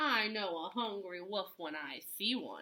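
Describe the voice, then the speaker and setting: A woman speaks at a fairly slow pace in a put-on character voice, her pitch medium. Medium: read story. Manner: cheeky.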